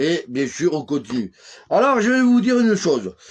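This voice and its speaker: Loud and animated, a man with a high pitch speaks at a moderate pace with very wide pitch swings. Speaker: religious preacher. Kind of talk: live-streamed sermon. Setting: live stream.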